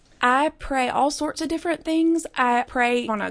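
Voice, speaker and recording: Against a quiet background, a woman speaks with an Alabama accent. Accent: Southern US (Alabama). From US South (Birmingham, Alabama). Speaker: podcast producer and pro-life activist. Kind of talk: interview. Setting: studio.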